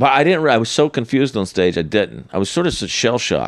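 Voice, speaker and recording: Lively intonation and some vocal fry mark a man's medium-pitched voice with an American accent. He speaks at a moderate pace. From North Carolina, US South. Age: 40s. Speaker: stand-up comedian. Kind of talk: casual interview chat, storytelling.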